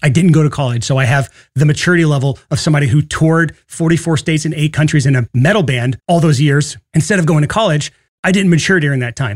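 A man's somewhat breathy, fairly high voice at a very fast pace, with ordinary pitch variation. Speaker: podcast host. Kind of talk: solo podcast episode. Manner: fast talker; animated, excitable.

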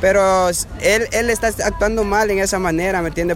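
Noticeable background noise and audible room echo surround this recording. The man's delivery keeps a moderate pace. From Honduras, El Paraíso. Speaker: migrant. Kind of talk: street interview. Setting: outdoors in a queue.

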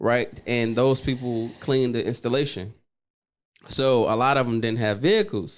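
On a very clean recording with a silent background, a man with a plain, everyday voice, a medium pitch and an American accent speaks at a moderate pace with fairly even intonation. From Washington, D.C. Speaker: trucking entrepreneur, former military police. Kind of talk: casual interview.

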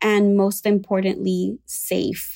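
On a very clean recording with a silent background, a woman speaks at a very slow pace. Her voice sits at a medium pitch with a dark, mellow tone. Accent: Spanish. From Puerto Rico. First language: Spanish. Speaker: psychotherapist. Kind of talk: expert interview. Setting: at home, not a studio.

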